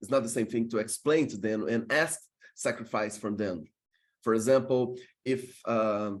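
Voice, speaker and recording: A man speaks with a Portuguese accent. His pace is moderate. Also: medium pitch for a man, ordinary pitch variation. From Brazil. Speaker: workshop presenter. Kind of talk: online masterclass talk. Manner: halting, many fillers.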